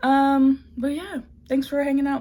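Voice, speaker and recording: A dark, mellow tone colors this voice. It belongs to a woman. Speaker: fashion designer vlogger. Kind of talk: casual vlog narration. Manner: casual, chatty.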